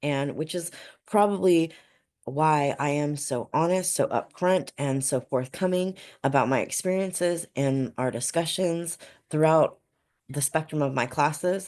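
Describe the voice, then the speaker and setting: Her pitch is very deep and low for a woman, with ordinary variation. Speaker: student in a counseling or therapy program. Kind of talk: class discussion video reflection. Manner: hesitant with many fillers.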